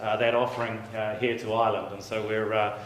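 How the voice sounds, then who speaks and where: A man speaks with a New Zealand accent. Noticeable background noise and audible room echo surround his voice. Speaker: software company representative. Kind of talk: sales pitch.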